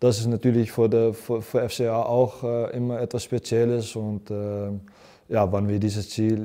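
With a Dutch accent, a man speaks at a moderate pace in a fairly low voice of dark, mellow tone. His intonation is monotone and flat, and the background is quiet. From Netherlands. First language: Dutch (speaking German). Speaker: professional footballer. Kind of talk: interview. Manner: halting, many fillers. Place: studio. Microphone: lapel.

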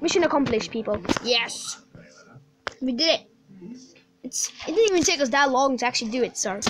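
A high-pitched woman at a fairly quick pace, lively in intonation, with long, frequent pauses and noticeable background noise. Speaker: gaming YouTuber. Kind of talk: gameplay commentary. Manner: animated.

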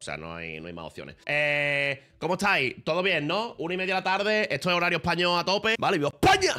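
A man's bright, sharp tone rises and falls in very wide pitch swings. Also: quiet background. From Spain. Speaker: streamer. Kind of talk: casual chat. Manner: animated. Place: home room. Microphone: studio mic.

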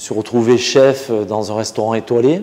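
A man speaks at medium pitch and a moderate pace. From French Basque Country. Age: 40s. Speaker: butcher and caterer. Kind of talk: interview answer. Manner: hesitant, casual. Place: kitchen. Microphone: lapel.

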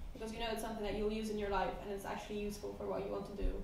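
A woman speaks in a Polish accent. Audible room echo and light background noise come through. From Poland. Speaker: veterinary medicine student. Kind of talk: casual chat. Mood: relaxed, enthusiastic. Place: home room.

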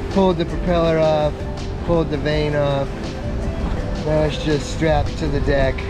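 Clear music plays in the background as a man speaks at a moderate pace in a dry sound with no echo. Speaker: sailor vlogger. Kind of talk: casual vlog chat. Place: boat. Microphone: phone near.

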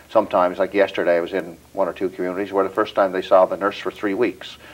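With a Newfoundland accent, a man speaks at a very fast pace. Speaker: federal politician. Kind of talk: interview. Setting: studio. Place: home room.

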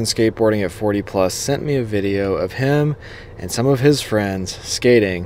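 A man speaks at a fairly slow pace. The sound is dry, with no echo. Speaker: skateboarding video creator. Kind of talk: reaction commentary. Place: car. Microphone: handheld.

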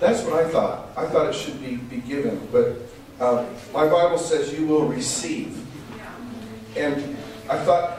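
Strong room echo and light background noise surround a man who speaks at a fairly slow pace with long, frequent pauses. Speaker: preacher. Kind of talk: sermon. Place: church.

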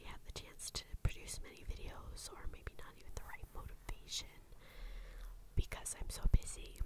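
A woman whispering, with noticeable background noise. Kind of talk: casual ramble to camera. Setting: ASMR recording with tapping sounds in background. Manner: whispered, quiet, soft-spoken.

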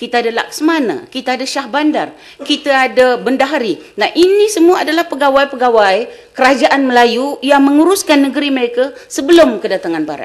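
A woman speaks at a fairly quick pace with hardly any pauses. Her pitch is high and her intonation lively. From Malaysia. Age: 60s. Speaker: history professor. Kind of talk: lecture. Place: hall.

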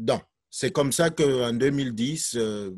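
Over a quiet background, a man's voice sounds dry with no echo. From Cameroon. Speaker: teacher. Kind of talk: testimony. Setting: video call. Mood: earnest, reflective. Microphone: video call.

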